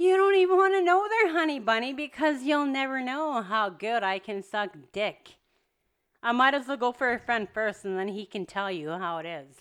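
Animated in tone, a woman talks at a high pitch with very wide pitch swings. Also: moderate pace. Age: 30s. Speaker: party guest. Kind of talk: casual chat. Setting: at a home late at night.

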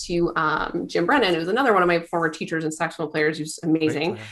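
Against noticeable background noise, a woman with a Canadian accent talks at a very fast pace and a fairly low pitch. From Canada, Calgary. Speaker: saxophone player. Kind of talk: casual interview.

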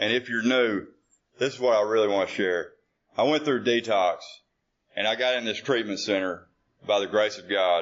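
Speaking at a moderate pace with an American accent, a man uses a medium pitch and ordinary pitch variation, leaving long, frequent pauses. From Arkansas, US South. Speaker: AA speaker. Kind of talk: AA panel share. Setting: conference stage with audience. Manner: nervous, then casual.

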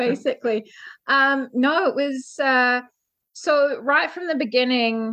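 In a New Zealand accent, a woman projects a raised voice at a high pitch with ordinary pitch variation and a bright, sharp tone. She speaks very slowly against a quiet background. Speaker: ship's officer. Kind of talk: interview.

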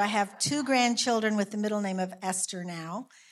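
With a Southern US accent, a woman speaks at a medium pitch with ordinary pitch variation in a very clean recording with a silent background. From rural South Carolina, US South. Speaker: math teacher. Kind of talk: personal introduction in church. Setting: church.

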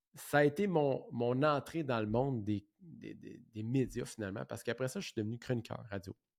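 With a Quebec accent, a man speaks on a very clean recording with a silent background. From Quebec, Saint-Jean-sur-Richelieu. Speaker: podcast host, real estate entrepreneur. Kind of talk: solo podcast monologue. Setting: office. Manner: halting, many fillers and repetitions.

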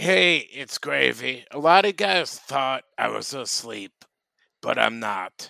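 A man's very slow, medium-pitched voice with a bright, sharp tone, vocal fry and very wide pitch swings, dry and close with no echo. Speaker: podcast host. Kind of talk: casual comedic banter.

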